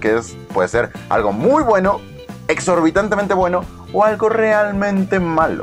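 A man talks at a fairly slow pace in an upbeat tone. Clear music plays behind him. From Mexico. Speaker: vlogger. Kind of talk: casual talk to camera. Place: home room. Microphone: phone near.

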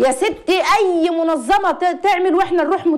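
The woman's tone is animated as she talks. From Egypt. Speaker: psychologist; guest. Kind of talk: call-in advice show. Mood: impassioned, distressed in places. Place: studio. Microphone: lapel.

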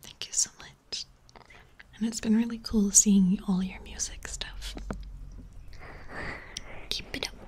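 Soft-spoken, very slow delivery with long, frequent pauses, big swings in loudness, and light background noise. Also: woman. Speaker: ASMR streamer. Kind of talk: ASMR livestream chat. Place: home room. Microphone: studio mic.

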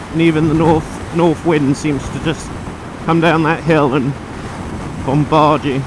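A man at a fairly slow pace, dry sound with no echo and noticeable background noise. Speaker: motorbike rider vlogger. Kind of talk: casual vlog chat. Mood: relaxed, joking. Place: motorbike. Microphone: helmet.

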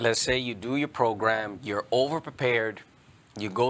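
Intonation stays fairly even as a man speaks at a moderate pace. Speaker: exam prep trainer. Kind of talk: panel discussion. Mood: calm, advising. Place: studio.

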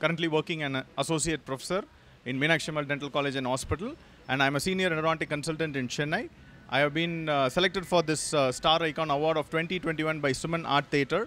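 A man rushes along at a very fast pace with a bright, sharp tone and fairly even intonation. The sound is dry with no echo, with light background noise. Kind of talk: short award acceptance statement. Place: hall. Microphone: handheld.

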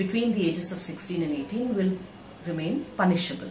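A woman talks at a moderate pace with lively intonation, her voice carrying audible room echo over light background noise. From India. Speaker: women's rights activist. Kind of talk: recorded video speech. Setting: video message. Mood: earnest, reflective. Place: office. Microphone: phone near.

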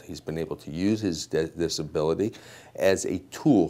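A man's very deep, low voice with a dark, mellow tone and lively intonation. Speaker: advocate for the detective. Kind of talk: interview answer. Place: office. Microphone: lapel.

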